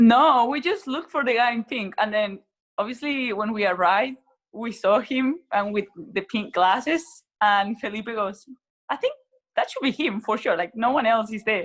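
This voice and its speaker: With a Spanish accent, the speaker moves at a moderate pace with ordinary pitch variation. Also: woman, fairly high pitch for a woman. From Chile, Santiago. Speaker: racing cyclist. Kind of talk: interview.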